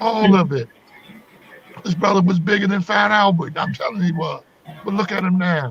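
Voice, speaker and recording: A man with an American accent speaks at a high pitch in an animated tone. Long, frequent pauses break up his speech, and background noise is noticeable. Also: ordinary pitch variation, moderate pace. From US South, North Carolina family roots. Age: 60s. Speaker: comedian. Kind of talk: interview.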